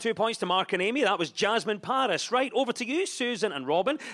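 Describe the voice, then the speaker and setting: Against a quiet background, a man with a Scottish accent talks at a fairly quick pace with hardly any pauses. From Scotland. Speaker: comedy panel show host. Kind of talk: scripted topical comedy links. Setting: stage with audience. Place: stage. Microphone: studio mic.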